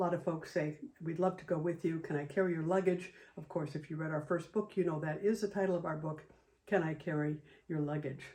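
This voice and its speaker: Very fast delivery in an American accent, with fairly even intonation. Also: woman, fairly low pitch for a woman. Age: 70s. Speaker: travel photographer and author. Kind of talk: casual video introduction.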